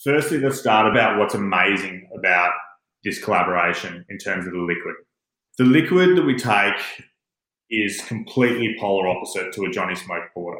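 A man with a bright, sharp tone and lively intonation, at a moderate pace, with audible room echo. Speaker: master distiller. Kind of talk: interview. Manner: animated.

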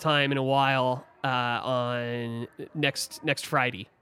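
A man with an American accent. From Philadelphia area. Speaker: baseball team staffer. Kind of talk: casual chat.

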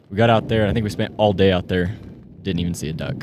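Talking at a very fast pace, a man with an American accent comes through over noticeable background noise. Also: fairly low pitch for a man, ordinary pitch variation. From California. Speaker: podcast guest, duck hunter. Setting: outdoors, camping in the mountains.

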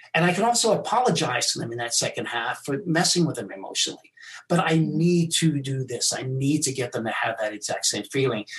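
A man's fairly high-pitched voice, very wide pitch swings and a fairly quick pace, over noticeable background noise. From England and South Africa. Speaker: mentalist and magician. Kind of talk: casual interview. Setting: live stream video call.

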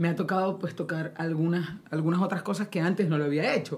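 A woman with a Maracaibo accent speaks at a fairly low pitch with ordinary pitch variation. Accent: Maracaibo (maracucho) Venezuelan. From Venezuela, Maracaibo (Zulia). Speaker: singer. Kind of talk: casual chat. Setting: studio.

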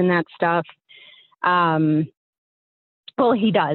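Using a normal speaking voice, a woman talks at a moderate pace with fairly low pitch and ordinary pitch variation. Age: 30s. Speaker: caller. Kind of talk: storytelling. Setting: phone call.

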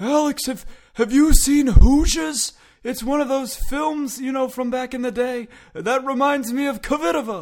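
A man speaks in a put-on character voice. His pitch is extremely high. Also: moderate pace.

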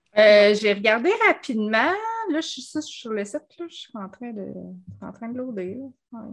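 A woman speaks at a fairly slow pace in a Quebec accent. Her loudness swings widely, and she takes long, frequent pauses. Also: ordinary pitch variation. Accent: Québécois French. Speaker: podcast co-host. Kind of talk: casual chat.

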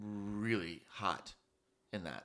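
A man with an American accent, fairly low in pitch, with a bright, sharp tone. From US. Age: 30s. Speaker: student. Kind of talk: casual chat.

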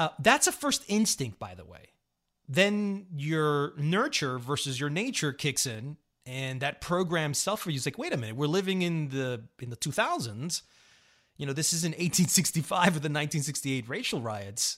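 A man with an American accent in a plain, everyday voice, fairly high in pitch, lively in intonation, at a moderate pace, on a very clean recording with a silent background. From Colombia, raised New York. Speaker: podcast host. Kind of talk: casual conversation.

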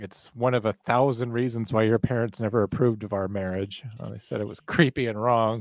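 A man with an unremarkable speaking voice at medium pitch talks at a fairly quick pace with hardly any pauses and big swings in loudness, on a very clean recording with a silent background and a dry, close sound with no echo. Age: 30s. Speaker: podcast host and 911 dispatcher. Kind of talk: casual chat.

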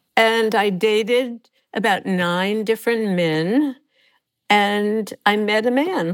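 At a very slow pace, a woman speaks with a fairly high pitch, ordinary pitch variation and very even loudness on a very clean recording with a silent background. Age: 80s+. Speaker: academic author. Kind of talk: interview.

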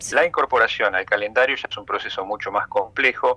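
The voice belongs to a man. It sounds close and dry, without any echo. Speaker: infectious disease doctor. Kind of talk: radio interview.

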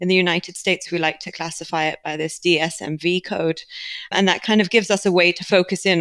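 A woman with a British accent talks very fast at a fairly low pitch, in a flat monotone. The sound is dry and close, without echo. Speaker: biotech company leader. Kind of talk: interview.

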